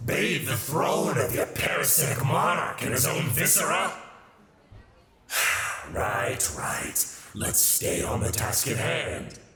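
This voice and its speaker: A man at medium pitch does a raspy, put-on character voice at a fairly slow pace, with slight echo. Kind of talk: ASMR audio roleplay. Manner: sardonic, playful.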